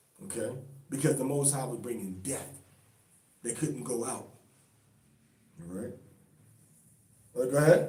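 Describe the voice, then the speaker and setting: A man at a medium pitch with lively intonation, big swings in loudness and long, frequent pauses, amid audible room echo and noticeable background noise. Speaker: religious teacher. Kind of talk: bible study teaching. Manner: fast.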